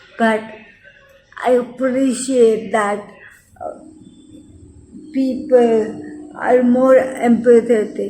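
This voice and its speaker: The speech is very slow, broken by long, frequent pauses, with noticeable background noise behind it. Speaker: health vlogger with lupus. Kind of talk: personal vlog talk. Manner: halting, with fillers and restarts.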